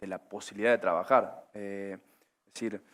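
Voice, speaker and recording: With a Córdoba accent, a man talks at a fairly low pitch on a very clean recording with a silent background. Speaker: agribusiness panelist. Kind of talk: panel discussion. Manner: hesitant with many fillers.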